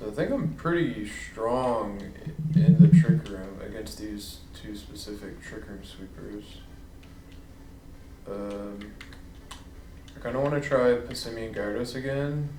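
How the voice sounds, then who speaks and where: Mumbling with lively intonation and big swings in loudness, a man speaks with long, frequent pauses in audible room echo. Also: medium pitch for a man, fairly slow pace. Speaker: gaming streamer. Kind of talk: gameplay commentary. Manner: hesitant.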